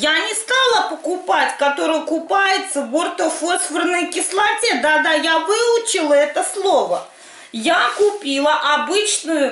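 In a room with audible echo, a woman with an extremely high pitch speaks at a very slow pace. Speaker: home cooking vlogger. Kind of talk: casual cooking tutorial chat. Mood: cheerful, humorous. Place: kitchen. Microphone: camera far.

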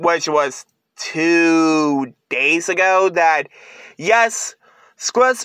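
A man speaks at a very slow pace. The background is quiet and the sound is dry with no echo. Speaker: vlogger. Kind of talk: casual vlog chat. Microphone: phone near.

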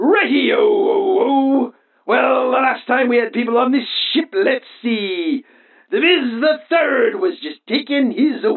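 Put-on character voice, pitched high. The delivery comes at a fairly slow pace. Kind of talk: comic overacting. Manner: blustering, theatrical.

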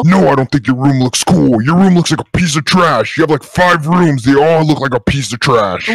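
A man speaks at a moderate pace with a fairly high pitch. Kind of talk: comic kids' roleplay villain. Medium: machinima. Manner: boastful, sneering, insulting.

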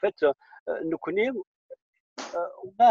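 Against a quiet background, a man's dark, mellow voice shows ordinary pitch variation in a dry recording with no echo. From Algeria, Kabylie. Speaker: film director. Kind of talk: interview. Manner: hesitant, with fillers. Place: car. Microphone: earbuds.

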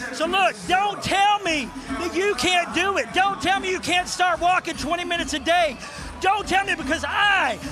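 A man talks in a raised, projected voice at a moderate pace with ordinary pitch variation. Clear music plays in the background, and the sound is dry with no echo. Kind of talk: interview answer. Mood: elated, motivational. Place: stadium. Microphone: handheld.

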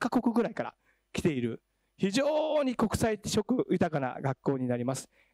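Against a quiet background, a man talks with very wide pitch swings. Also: dry sound with no echo. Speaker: education professional. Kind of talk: panel discussion. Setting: stage with audience. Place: hall. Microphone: handheld.

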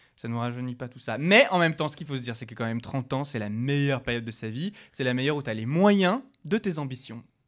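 A man talks very fast with lively intonation and a fairly high pitch. The recording is very clean, with a silent background. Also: big swings in loudness. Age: 30s. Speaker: podcast co-host. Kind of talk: casual chat.

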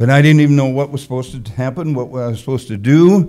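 Speaking with an American accent, a man has a dark, mellow tone and a fairly quick pace. The background is quiet. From US Midwest, Wisconsin. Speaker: preacher. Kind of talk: sermon. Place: church. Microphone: podium.

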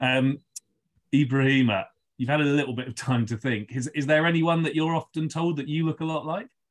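A man with a London accent at a fairly quick pace, against a quiet background. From London, England. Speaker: podcast co-host. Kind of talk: casual interview. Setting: remote call. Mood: friendly, light. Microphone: video call.

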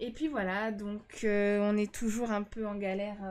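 The woman's delivery unfolds at a fairly slow pace. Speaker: game streamer. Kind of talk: casual gameplay commentary. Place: home room. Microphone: studio mic.

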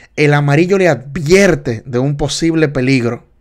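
A man's fairly high voice, animated and fairly slow, with ordinary pitch variation against a quiet background. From Dominican Republic. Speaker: driving test tutor, livestream host; driving test instructor. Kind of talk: live study session quiz tutorial. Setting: livestream. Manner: animated, repetitive teaching. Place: home room.

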